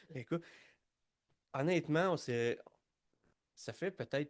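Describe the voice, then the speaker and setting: A man speaks with a Quebec accent. His pace is fairly slow. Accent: Québécois French. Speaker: podcast host, leadership coach. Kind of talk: podcast interview. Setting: studio.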